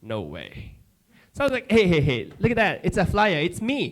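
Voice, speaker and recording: Speaking at a moderate pace in a strong Japanese accent, a man sounds animated, with very wide pitch swings. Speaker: comedian. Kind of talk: stand-up. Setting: stage with audience.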